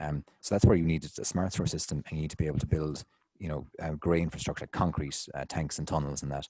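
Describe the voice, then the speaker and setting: A man with an Irish accent talks at a very fast pace in a very deep, low voice. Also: fairly even intonation, dry, close sound with no echo. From Ireland. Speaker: city engineer. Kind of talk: conference Q&A.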